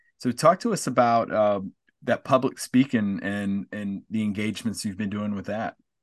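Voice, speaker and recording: Against a quiet background, a man speaks in a normal speaking voice at a moderate pace, fairly low in pitch with ordinary variation, the sound dry and close with no echo. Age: 40s. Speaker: podcast host, former basketball player. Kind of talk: interview. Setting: video call.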